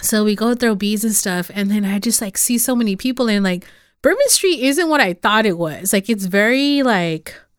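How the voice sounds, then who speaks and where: A woman with a Spanish accent speaks at a fairly high pitch and a moderate pace with lively intonation, in a very clean recording with a silent background. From California Central Valley (Los Banos). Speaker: podcast host. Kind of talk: casual interview.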